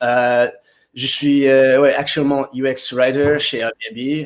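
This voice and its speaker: A non-native accent is heard. Speech moves very slowly. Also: man. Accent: foreign accent in French. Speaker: UX writer. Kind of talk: webinar interview.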